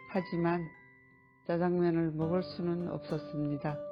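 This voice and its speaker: Music plays in the background as a woman talks at a fairly low pitch. Her pace is very slow. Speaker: adult literacy student. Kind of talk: reading of own life essay.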